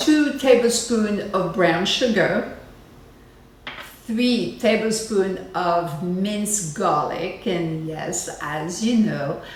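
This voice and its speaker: Speaking very slowly with a French accent, a woman uses lively intonation over noticeable background noise and audible room echo. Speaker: cooking show host. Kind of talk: cooking tutorial. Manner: casual, chatty with fillers.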